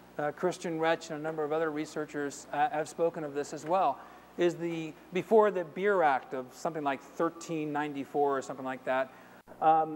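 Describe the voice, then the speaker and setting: A man at a moderate pace, his intonation fairly even, over light background noise. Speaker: conference presenter. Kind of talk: lecture. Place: hall.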